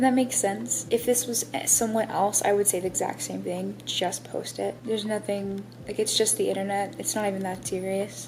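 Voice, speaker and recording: A woman speaks at a moderate pace with lively intonation and hardly any pauses. There is noticeable background noise. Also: medium pitch for a woman. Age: 20s. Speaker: aspiring author and vlogger. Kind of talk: casual vlog talk. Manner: stuttering, halting.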